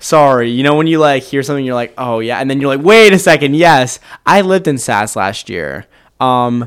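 A man with an American accent and a plain, everyday voice talks at a moderate pace with lively intonation in a very clean recording with a silent background. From Maryland, Kent County. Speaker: college student. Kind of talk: casual chat.

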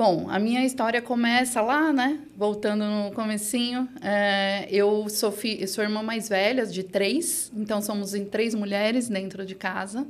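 With audible room echo around her, a woman speaks at a fairly high pitch and a fairly slow pace, with fairly even intonation and hardly any pauses. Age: 40s. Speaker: digital channels executive at a bank. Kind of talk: interview.

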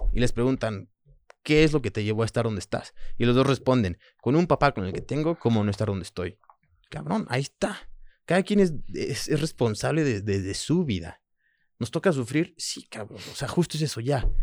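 At a moderate pace and medium pitch, a man swings very widely in pitch, his voice dry and close with no echo in a very clean recording with a silent background. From France, then Mexico (Manzanillo) from age 7. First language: French (speaking Spanish). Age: 30s. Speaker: former rugby captain and model. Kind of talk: casual chat.

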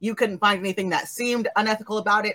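Her pitch varies in an ordinary way. The woman talks at a very fast pace. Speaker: game master. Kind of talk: tabletop role-playing stream, casual and animated. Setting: live stream. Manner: animated.

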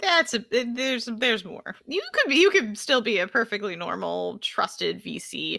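With an American accent, a woman speaks in a plain, everyday voice at a fairly high pitch and a moderate pace. She takes hardly any pauses, and her loudness swings widely. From US West Coast, Los Angeles. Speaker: venture capital investor. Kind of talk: casual interview.

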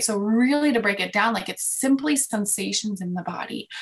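Using an ordinary speaking voice, a woman talks at a fairly high pitch with lively intonation. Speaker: love coach. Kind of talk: interview chat.

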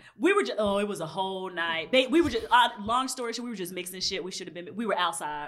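The speech comes at a very fast pace with hardly any pauses, an animated tone, lively intonation and big swings in loudness. There is noticeable background noise and audible room echo. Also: woman, medium pitch for a woman. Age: 30s. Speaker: podcast co-host. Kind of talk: casual chat.

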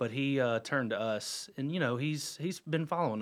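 A man with an American accent speaks in an ordinary speaking voice at a fairly slow pace, on a very clean recording with a silent background. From North Carolina, Huntersville. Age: 40s. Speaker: real estate broker. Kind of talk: casual radio interview. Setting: radio studio.

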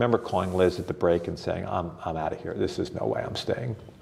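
Very deep, low male voice with an American accent at a very fast pace, over noticeable background noise. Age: 60s. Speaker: author and performance coach. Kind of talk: casual interview.

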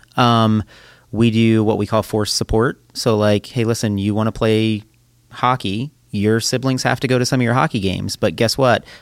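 A man speaks in an ordinary speaking voice at medium pitch and a moderate pace, with fairly even intonation and very even loudness. The recording is very clean, with a silent background. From southwestern Pennsylvania, near Pittsburgh. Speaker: church children's ministry worker, father. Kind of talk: casual chat.

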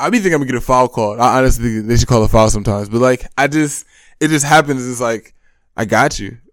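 The recording is very clean, with a silent background. Someone speaks very fast with an American accent. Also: man. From Michigan, US. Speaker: college basketball player. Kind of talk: interview. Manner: halting.

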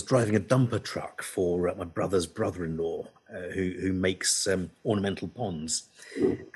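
A man speaks in a somewhat breathy voice. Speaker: veterinarian and podcast co-host. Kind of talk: casual chat. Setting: video call.

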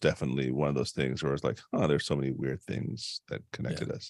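A very fast-talking man with vocal fry, dry and close with no echo, on a very clean recording with a silent background. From Caribbean immigrant household. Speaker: executive and leadership coach. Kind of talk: casual chat.

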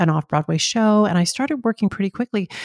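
In a normal speaking voice, a woman at medium pitch talks with lively intonation, the sound dry and close with no echo. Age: 50s. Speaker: actor and talk show host. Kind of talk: casual interview.

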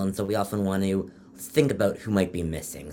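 Talking at a moderate pace, a man uses an ordinary speaking voice with a fairly low pitch. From Canada, Toronto. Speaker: epidemiology professor. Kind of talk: expert interview.

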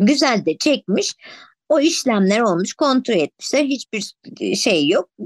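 The pace is very slow, with very wide pitch swings. The sound is dry and close with no echo, over a quiet background. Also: woman. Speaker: podcast co-host. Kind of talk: casual chat. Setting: video call. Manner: playful, giggly.

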